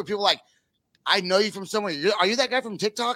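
Raised and projected, a man's high, bright, sharp voice races at a very fast pace with ordinary pitch variation. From Northern California. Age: 40s. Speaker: podcast host. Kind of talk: casual chat.

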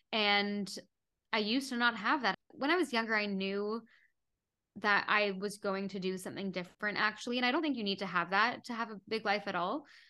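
A woman with a Canadian accent, medium in pitch with ordinary pitch variation, her tone bright and sharp, at a very fast pace, on a very clean recording with a silent background. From Canada, Toronto. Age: 20s. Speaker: meditation app founder and podcaster. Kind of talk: casual interview chat.

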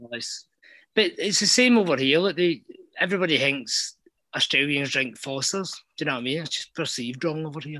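A man with a Scottish accent, fairly high-pitched with a bright, sharp tone, lively intonation and a fairly quick pace. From Scotland. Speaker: caller. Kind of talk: casual chat.

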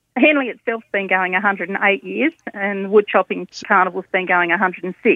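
A woman speaks in a cheerful tone at a fairly slow pace. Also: medium pitch for a woman, ordinary pitch variation. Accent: Australian. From Tasmania, Australia. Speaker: event organiser. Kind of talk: phone interview. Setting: phone call. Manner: cheerful, laughs often.

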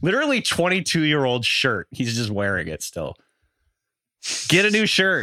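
With a Pacific Northwest accent, the speaker moves at a moderate pace with very wide pitch swings and long, frequent pauses. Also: man, fairly high pitch for a man. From Washington State (Bellingham). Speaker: fantasy football podcast co-host. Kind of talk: casual chat.

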